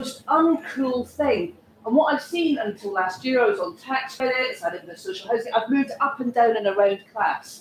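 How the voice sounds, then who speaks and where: With hardly any pauses, a woman speaks at a high pitch with very wide pitch swings. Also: moderate pace, big swings in loudness. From Scotland, Glasgow. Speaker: audience member. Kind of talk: audience question. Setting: panel event with audience, no mic. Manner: loud, projecting.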